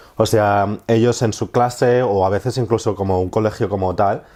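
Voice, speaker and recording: A man speaks with a Madrid accent in a dark, mellow tone. His intonation stays fairly even. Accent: Castilian Spanish (Madrid). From Spain. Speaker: marine conservationist, project manager. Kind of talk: interview answer.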